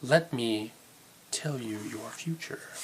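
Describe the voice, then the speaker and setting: A man's whispered, put-on character voice over clear background noise. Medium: read story. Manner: mysterious.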